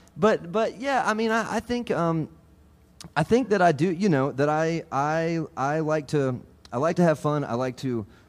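With a normal speaking voice, a man uses lively intonation at a fairly high pitch. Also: moderate pace. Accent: American. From US South, Georgia. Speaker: banjo player. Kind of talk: casual chat. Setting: stage with audience.

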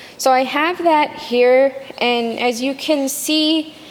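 A woman's high-pitched voice, with fairly even intonation, is heard against noticeable background noise. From Kitigan Zibi reserve, Outaouais, Quebec. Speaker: artist, graduate student. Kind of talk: interview.

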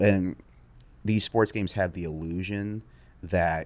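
Male speech, fairly slow in tempo. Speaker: sports content creator. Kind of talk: casual interview chat. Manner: even-keeled, monotone, rarely raises voice; laid-back.

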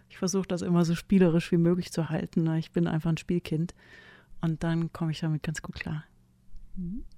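A woman speaks in a fairly low, dark and mellow voice with flat, monotone intonation, talking at a fairly quick pace with big swings in loudness and long, frequent pauses. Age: 50s. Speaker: singer-songwriter. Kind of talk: interview.

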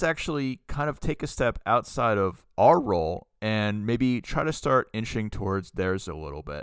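On a very clean recording with a silent background, a man speaks at a fairly slow pace with very wide pitch swings and hardly any pauses. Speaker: podcast co-host. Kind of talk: casual chat. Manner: loud.

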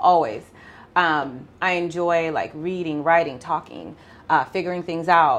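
In a slight Jamaican accent, a woman talks with a fairly low pitch and fairly even intonation. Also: fairly slow pace. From Jamaica (Mandeville). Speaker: family law attorney. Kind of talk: interview.

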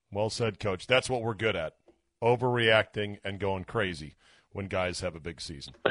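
Against a quiet background, a man speaks in a normal speaking voice at a moderate pace and a fairly low pitch, with ordinary pitch variation. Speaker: sports radio host. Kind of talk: sports radio talk show. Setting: radio studio.

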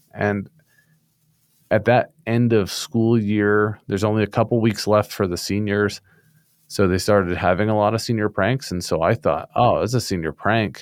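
In an American accent, a man with an ordinary speaking voice talks at a moderate pace, his pitch fairly low and his intonation fairly even. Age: 30s. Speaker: shooting survivor. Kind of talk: testimony. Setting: remote call.

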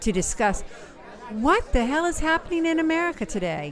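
A woman speaks at a moderate pace in an animated tone. Crowd noise fills the background. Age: 50s. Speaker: podcast host. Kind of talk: scripted show intro.

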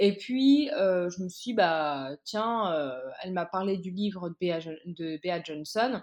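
Over a quiet background, a woman at medium pitch speaks at a very slow pace with lively intonation. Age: 20s. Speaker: recent master's graduate, zero-waste Instagram creator. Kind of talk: casual interview. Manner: halting, many fillers.

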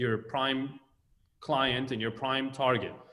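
Audible room echo around a man's voice at a medium pitch. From Israel, Tel Aviv. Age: 40s. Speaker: architect. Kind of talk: interview.

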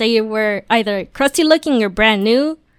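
A plain, everyday voice at a fairly slow pace, dry and close with no echo, on a very clean recording with a silent background. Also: woman. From Mexican-American. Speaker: podcast guest. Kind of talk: casual chat.

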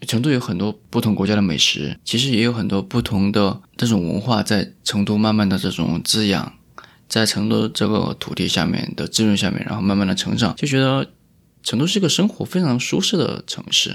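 A man talks at a fairly low pitch with vocal fry. His intonation is lively and his pace fairly quick. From Chongqing (Wanzhou). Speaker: podcast host. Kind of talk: casual chat. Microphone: new microphone.

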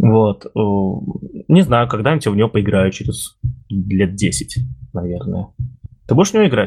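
With lively intonation and long, frequent pauses, a man talks fairly slowly in a somewhat breathy, fairly low voice. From Russia, Ulyanovsk. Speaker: podcast host, IT community organizer. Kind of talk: casual chat. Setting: remote recording, virtual studio.

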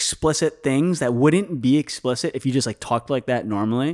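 With a Chicago accent, a man speaks at a moderate pace using lively intonation. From Chicago, Illinois. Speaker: filmmaker and vlogger. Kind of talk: casual chat. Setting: studio.

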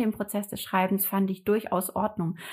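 A woman's somewhat breathy, medium-pitched voice, monotone with flat intonation, at a moderate pace, on a very clean recording with a silent background. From northern Germany, Hamburg area. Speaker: calligraphy artist and entrepreneur. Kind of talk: casual interview conversation. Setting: living room.

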